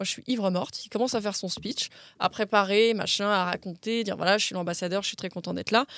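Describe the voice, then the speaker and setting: Delivery comes at a very fast pace with fairly even intonation. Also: woman. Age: 20s. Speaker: actress and model. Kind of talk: casual chat.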